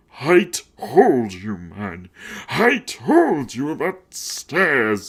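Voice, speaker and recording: A man puts on a growling character voice, fairly high in pitch and delivered at a very slow pace. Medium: read story. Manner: casual, slangy.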